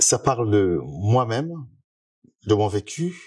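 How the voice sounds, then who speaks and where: Somewhat breathy speech with ordinary pitch variation against a quiet background. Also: man. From Republic of the Congo. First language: Lari (Kikongo) (speaking French). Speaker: musician. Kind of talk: interview. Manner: hesitant, many fillers.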